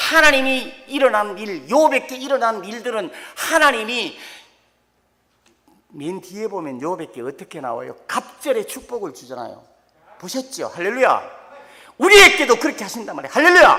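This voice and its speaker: Long pauses come often, though the talking between them keeps a moderate pace. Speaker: pastor. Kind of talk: sermon.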